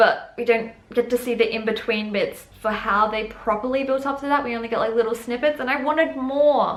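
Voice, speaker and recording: A woman's high-pitched voice at a fairly quick pace, with fairly even intonation and hardly any pauses. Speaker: book and TV reviewer. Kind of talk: casual video review. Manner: fast; rambling, casual.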